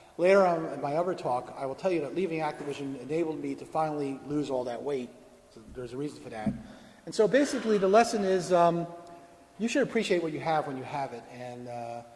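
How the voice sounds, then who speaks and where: Speaking at a very fast pace with lively intonation, a man shows big swings in loudness amid audible room echo. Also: fairly high pitch for a man. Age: 60s. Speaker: video game industry veteran giving a talk. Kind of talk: conference talk; audience Q&A answer.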